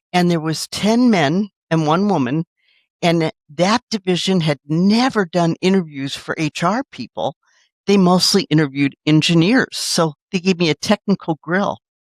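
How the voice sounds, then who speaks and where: A woman speaks in a plain, everyday voice, fairly low in pitch, with lively intonation at a moderate pace, the sound dry and close with no echo and the recording very clean over a silent background. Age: 60s. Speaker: city government HR executive. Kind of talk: interview.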